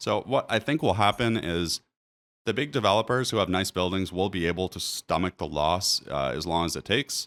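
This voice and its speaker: A man with a Maritime accent and a very deep, low pitch talks at a fairly quick pace with lively intonation. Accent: Canadian English, Maritimes. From New Brunswick, Canada. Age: 30s. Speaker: realtor. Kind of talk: market commentary video. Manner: casual, conversational.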